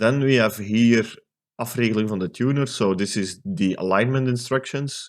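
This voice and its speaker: In a Dutch accent, a man speaks at a moderate pace and medium pitch with ordinary pitch variation. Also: very clean recording, silent background. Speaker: electronics restoration youtuber. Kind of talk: tutorial. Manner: hesitant, many fillers.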